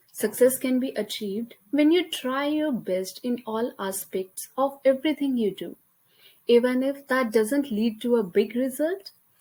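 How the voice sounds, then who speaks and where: A woman with an Indian accent speaks at a high pitch in a dark, mellow tone. Her pace is fairly slow and her intonation lively. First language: Hindi. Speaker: college student. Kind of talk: class presentation. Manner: halting.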